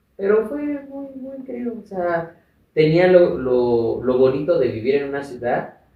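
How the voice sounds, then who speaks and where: Amid audible room echo, a man with a high pitch speaks with very wide pitch swings and big swings in loudness. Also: fairly slow pace. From Mexico, Chiapas and Mexico City. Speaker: activist and radio presenter. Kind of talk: interview, life story.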